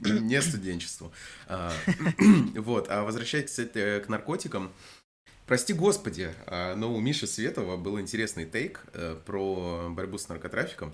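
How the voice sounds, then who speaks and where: With lively intonation, a man with a fairly low pitch speaks at a very slow pace with long, frequent pauses. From Krasnodar Krai, Russia. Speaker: podcast co-host. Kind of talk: casual chat, news discussion.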